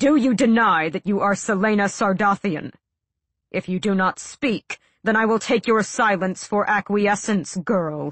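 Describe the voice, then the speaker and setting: Putting on a growling character voice, a woman speaks at a medium pitch and a moderate pace with ordinary pitch variation. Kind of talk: audiobook dialogue. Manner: cold, menacing.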